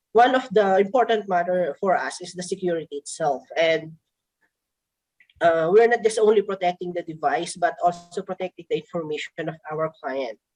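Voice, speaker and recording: A woman speaks in a fairly low pitch with a Filipino accent. The sound is dry and close with no echo. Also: ordinary pitch variation, moderate pace. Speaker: product presenter. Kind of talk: product presentation. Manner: halting.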